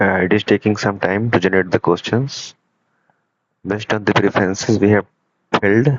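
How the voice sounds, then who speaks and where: At a fairly quick pace but with long, frequent pauses, a man with an Indian accent speaks in a fairly low pitch, his loudness very even and his intonation fairly even. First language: Hindi. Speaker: student developer presenting project. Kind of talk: software demo tutorial. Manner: halting.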